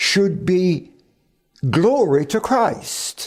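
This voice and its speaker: A man talks at a very slow pace in a high pitch. His pitch swings very widely. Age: 90s. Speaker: preacher. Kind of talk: sermon. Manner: halting.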